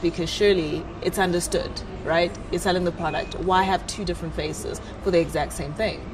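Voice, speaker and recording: Amid noticeable background noise and audible room echo, a woman with a South African accent speaks fairly quickly in a fairly low pitch. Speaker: talk show host. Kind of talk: talk show interview.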